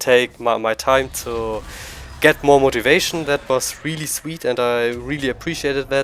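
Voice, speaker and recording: The man's intonation stays fairly even. He talks at a fairly slow pace. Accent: strong German. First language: German. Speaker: gaming YouTuber. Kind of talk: casual monologue to camera. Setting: at home computer. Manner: halting.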